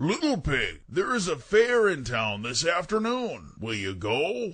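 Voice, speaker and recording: A man puts on a character voice pitched high, with very wide pitch swings. He speaks at a fairly slow pace. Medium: read story. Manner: sly, coaxing.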